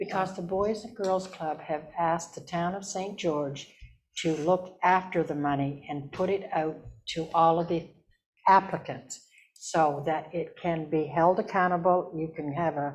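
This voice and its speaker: Speaking at a fairly slow pace, a woman with an ordinary speaking voice keeps her fairly low pitch in fairly even intonation. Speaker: town councillor. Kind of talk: council meeting debate.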